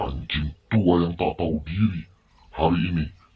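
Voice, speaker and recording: A man performs a put-on character voice, loud and booming at a moderate pace. His pitch is very deep and low. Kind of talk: radio drama. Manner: shouting, angry.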